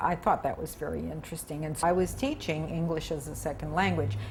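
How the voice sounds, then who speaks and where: A woman talks with an American accent. Room echo is audible. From US Midwest. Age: 70s. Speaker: retired broadcaster and Peace Corps volunteer. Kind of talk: interview. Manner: animated.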